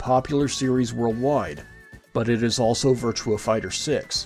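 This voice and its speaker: Music plays in the background. The voice moves at a moderate pace with ordinary pitch variation. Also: man. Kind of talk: video essay commentary.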